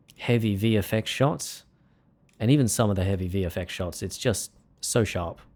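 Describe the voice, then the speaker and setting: Pitch varies in an ordinary way as a man talks with an Australian accent. The recording is very clean, with a silent background. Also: fairly low pitch for a man, moderate pace. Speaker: music producer and livestreamer. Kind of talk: casual livestream chat. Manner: casual, halting with fillers and repeats.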